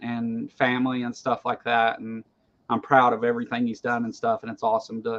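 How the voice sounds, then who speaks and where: Here is a man with a Kentucky accent at a moderate pace. His pitch is medium and his intonation fairly even. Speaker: online talk show host. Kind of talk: casual chat. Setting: livestream video call. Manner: halting, frequent repetitions.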